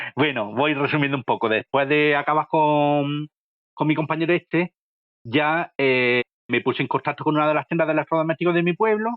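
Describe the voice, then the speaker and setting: A man speaks with an Andalusian accent at a fairly high pitch. His pitch variation is ordinary and his loudness very even. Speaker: manual worker, appliance installer. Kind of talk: interview answer. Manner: plain, homespun.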